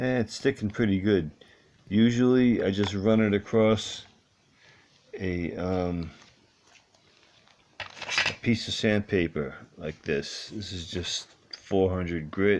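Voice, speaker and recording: With noticeable background noise behind it, the speaking moves very slowly and breaks into long, frequent pauses. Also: man, fairly low pitch for a man, ordinary pitch variation. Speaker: hobbyist guitar repairer. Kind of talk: tutorial. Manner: casual, with frequent filler words.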